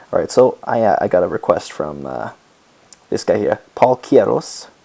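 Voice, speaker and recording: Noticeable background noise can be heard. Over it, a man speaks. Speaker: music tutorial youtuber. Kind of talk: tutorial. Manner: casual, rambling with fillers.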